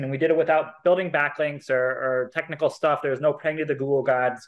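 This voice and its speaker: In a plain, everyday voice, a man talks at a fairly quick pace with a fairly high pitch. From US, Seattle area. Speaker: tech entrepreneur. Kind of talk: casual interview.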